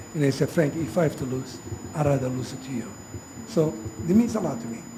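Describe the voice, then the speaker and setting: Over noticeable background noise, a man with an Italian accent talks at a very fast pace with a fairly high pitch, lively intonation and big swings in loudness. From Italy. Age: 70s. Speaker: mayor. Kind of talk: inauguration speech. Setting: ceremony with audience. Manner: halting.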